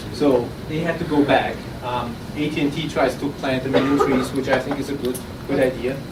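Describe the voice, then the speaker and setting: A man's medium-pitched voice with an Austrian accent, audible room echo and noticeable background noise. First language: German. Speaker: startup founder. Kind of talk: pitch presentation. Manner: halting, with repeated words.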